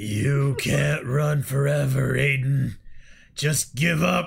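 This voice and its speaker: In a put-on character voice, a man speaks very slowly with a raspy sound at a medium pitch. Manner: flat monotone.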